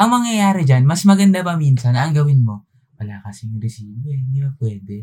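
A somewhat breathy man with a dark, mellow tone, medium pitch, very wide pitch swings, and a fairly quick pace. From Philippines, Tagalog region. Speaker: podcast co-host. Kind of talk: casual chat.

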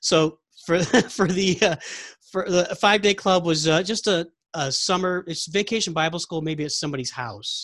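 This man's voice sits high, keeps ordinary pitch variation, and moves along at a moderate pace. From Texas. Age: 40s. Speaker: podcast host. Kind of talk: casual chat.

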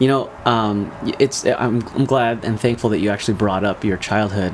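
Amid noticeable background noise, a man speaks in a fairly low pitch. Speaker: podcast host. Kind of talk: casual interview chat.

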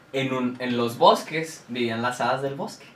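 A man with a Mexican accent at a medium pitch, fairly slow and fairly even in intonation, over noticeable background noise and audible room echo. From Mexico. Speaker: podcast co-host. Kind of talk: casual chat.

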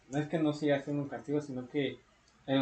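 A man with a Mexican accent speaks in a somewhat breathy voice. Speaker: podcast host. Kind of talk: casual chat.

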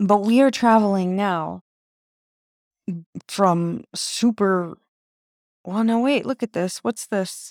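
A woman of medium pitch speaks very slowly, with long, frequent pauses and ordinary pitch variation, on a very clean recording with a silent background and a dry, close sound with no echo. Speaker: independent podcaster. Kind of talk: solo monologue. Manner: halting.

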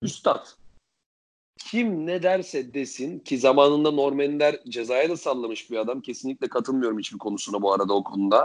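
An unremarkable speaking voice at a moderate pace with lively intonation. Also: man, fairly high pitch for a man. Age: 20s. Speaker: podcast co-host. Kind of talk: casual chat.

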